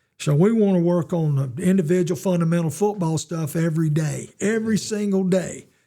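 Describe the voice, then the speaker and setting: A man with a Southern US accent talks at a fairly quick pace with hardly any pauses, his high pitch carrying a dark, mellow tone and ordinary pitch variation. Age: 70s. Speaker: retired football coach. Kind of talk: interview.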